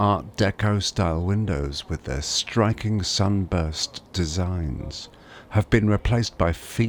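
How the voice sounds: Pitch varies in an ordinary way. It is a natural reading voice.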